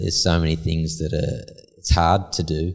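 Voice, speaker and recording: A man speaks in an Australian accent at a very deep, low pitch. His voice is somewhat breathy on a very clean recording with a silent background. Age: 40s. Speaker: concrete polisher, business owner. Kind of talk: casual interview.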